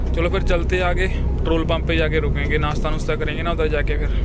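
Loud background noise surrounds a man speaking at a moderate pace, with a dry sound and no echo. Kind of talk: casual vlog chat. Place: car. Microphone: phone near.

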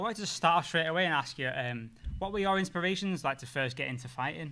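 Very fast and bright, a man speaks in a sharp tone at a fairly high pitch. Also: lively intonation. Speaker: podcast host. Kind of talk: podcast intro and interview questions. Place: studio. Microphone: studio mic.

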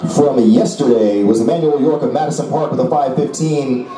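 Crowd noise sits in the background as a man speaks at a fairly slow pace. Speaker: stadium announcer. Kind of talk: commentary. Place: stadium.

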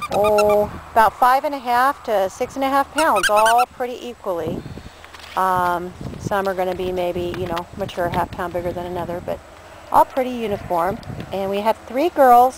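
Dry sound with no echo and noticeable background noise. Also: moderate pace. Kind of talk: casual sales description. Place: garden. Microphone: phone near.

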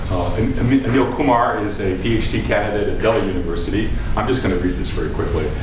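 Audible room echo and noticeable background noise around a man talking. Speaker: professor and session chair. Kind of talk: chairing a panel. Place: meeting room. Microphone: podium.

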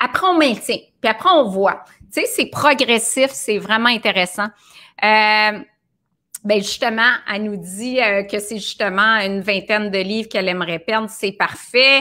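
Bright and sharp in tone, a woman speaks at a fairly high pitch and a fairly slow pace, with ordinary pitch variation and long, frequent pauses. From Quebec. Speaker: nutritionist hosting a live video. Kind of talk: casual live stream chat. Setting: live video broadcast. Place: home room.

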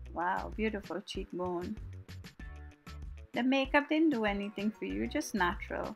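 Music plays behind a woman with a Guyanese accent who speaks in a playful tone with long, frequent pauses. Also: moderate pace. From Guyana. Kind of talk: comedic voiceover commentary on a makeup tutorial. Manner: casual, playful.

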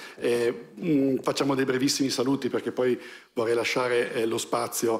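A man talks at a fairly quick pace with a medium pitch. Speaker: museum director. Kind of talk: event introduction. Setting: stage with audience. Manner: hesitant. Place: hall. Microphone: camera far.

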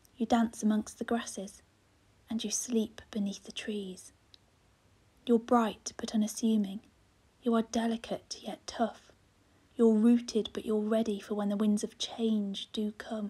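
A woman speaks at a fairly slow pace with long, frequent pauses, her pitch fairly high and her intonation monotone and flat. Her voice is somewhat breathy, with a dark, mellow tone and a soothing tone. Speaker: poet. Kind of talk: poetry reading.

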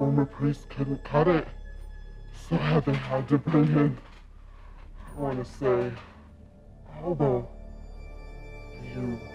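A put-on character voice with a menacing tone speaks at a fairly slow pace in a low-to-middle pitch, with long, frequent pauses. Clear music plays in the background. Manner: mocking, then menacing and grandiose.

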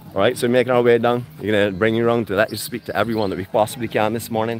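The delivery is animated and very fast, the sound dry with no echo, and faint music plays in the background. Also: man. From Barbados. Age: 50s. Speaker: travel vlogger. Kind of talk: live walkabout vlog with interviews. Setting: outdoors at a farmers market. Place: market. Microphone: phone near.

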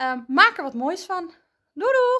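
A woman raises and projects her voice, her pitch swinging very widely. Her tone is bright and sharp against a quiet background. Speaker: primary school teacher. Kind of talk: tutorial for children. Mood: warm, friendly, encouraging. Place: classroom. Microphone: phone near.

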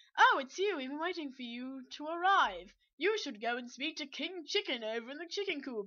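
A woman puts on a character voice, pitched high. She keeps a moderate pace with hardly any pauses. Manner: welcoming, playful.

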